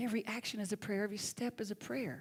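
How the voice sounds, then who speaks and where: A woman with a Southern US accent speaks very fast in a fairly high, somewhat breathy voice. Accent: Southern US accent, lighter than Alabama. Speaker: minister. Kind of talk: sermon.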